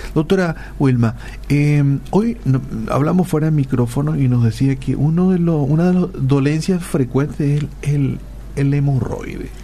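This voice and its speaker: A man with a fairly high voice talks at a fairly slow pace, his pitch rising and falling in an ordinary way and his loudness very even, over noticeable background noise. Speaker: radio host. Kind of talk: radio interview. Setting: radio studio.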